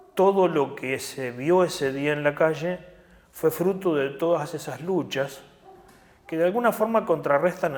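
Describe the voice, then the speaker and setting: A man talks at a fairly slow pace with ordinary pitch variation. Noticeable background noise runs behind him. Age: 60s. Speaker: trade union leader. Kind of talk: interview. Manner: hesitant fillers.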